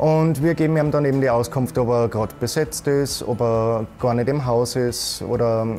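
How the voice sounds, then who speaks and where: A man speaks at a moderate pace with ordinary pitch variation. Faint music sits in the background. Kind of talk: interview answer. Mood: calm, friendly. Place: office. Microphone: lapel.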